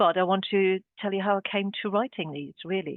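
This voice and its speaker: This is a woman's voice. Her pitch is medium. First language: German. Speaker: art historian and curator. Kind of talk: webinar talk. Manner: halting, many fillers.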